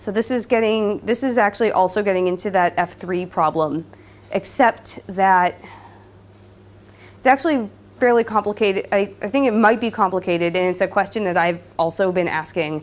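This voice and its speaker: A woman speaks with an American accent at a medium pitch and a moderate pace, with ordinary pitch variation. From Southern California. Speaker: linguistics PhD student. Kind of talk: lecture with Q&A. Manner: hesitant, many fillers.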